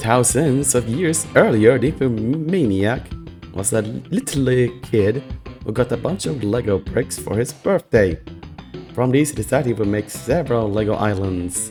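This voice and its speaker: A man's fairly slow speech with lively intonation, music playing in the background. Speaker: YouTuber. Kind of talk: comedic reading of fan fiction with commentary. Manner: casual, joking.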